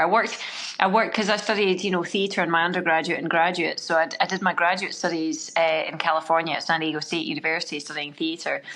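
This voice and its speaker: In a strong Scottish accent, a woman talks at a very fast pace. Her tone is bright and sharp, with ordinary pitch variation. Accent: Scottish, still strong, slightly rounded. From Scotland. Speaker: triathlete and screenwriter. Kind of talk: casual interview chat.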